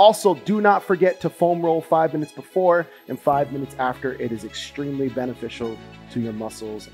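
A man talks at a fairly quick pace with big swings in loudness. Faint music plays in the background. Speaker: hockey fitness trainer. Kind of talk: tutorial. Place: garage. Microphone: headset.

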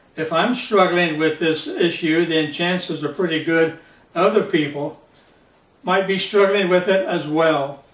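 A man's high voice at a fairly slow pace, with fairly even intonation and audible room echo. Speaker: pastor. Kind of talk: sermon. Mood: calm, earnest. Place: home room.

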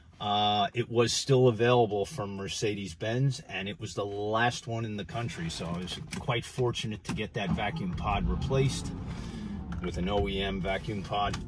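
The speech moves at a moderate pace over loud background noise. The sound is dry, with no echo. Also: man, ordinary pitch variation. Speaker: car seller. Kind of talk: car walkthrough commentary. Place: car. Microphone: phone near.

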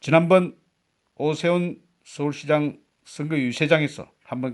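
A man speaks in an ordinary speaking voice. His fairly high pitch shows ordinary variation. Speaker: political commentary YouTuber, veteran broadcaster. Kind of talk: scripted political commentary. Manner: formal.

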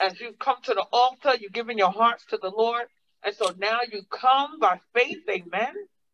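The tone is animated and the pace fairly slow. Light noise can be heard in the background. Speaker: preacher. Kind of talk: sermon. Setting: church. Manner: animated, call-and-response preaching with congregation. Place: church. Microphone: podium.

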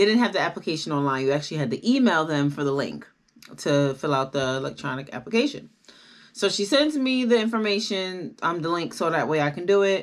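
A woman's fairly low voice with very wide pitch swings at a fairly quick pace, against a quiet background. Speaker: vlogger. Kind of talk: casual vlog chat, personal story. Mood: upbeat, animated.

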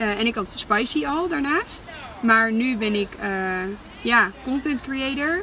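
Very slow delivery with lively intonation. The sound is dry with no echo, over light background noise. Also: woman. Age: 20s. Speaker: content creator. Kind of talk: casual Q&A vlog. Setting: in a car. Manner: hesitant, many fillers. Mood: reflective, candid. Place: car. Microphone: camera far.

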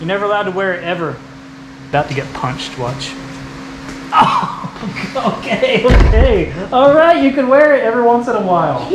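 A man speaks in a high voice at a moderate pace over loud background noise. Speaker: car repair YouTuber. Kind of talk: casual tutorial. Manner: casual. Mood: playful teasing with child. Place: garage.

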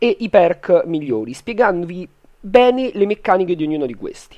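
This man talks with a high pitch. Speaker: gaming YouTuber. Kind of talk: casual gaming tutorial.

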